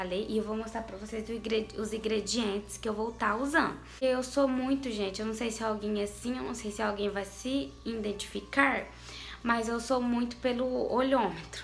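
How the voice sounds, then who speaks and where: Faint music plays in the background as a woman talks at a moderate pace. Her pitch varies in an ordinary way. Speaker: home cooking vlogger. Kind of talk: casual vlog chat. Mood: playful, laughing. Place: kitchen. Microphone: phone near.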